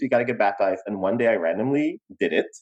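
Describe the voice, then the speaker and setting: A man speaks with a Guyanese accent. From Guyana. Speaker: podcast co-host. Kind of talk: casual chat.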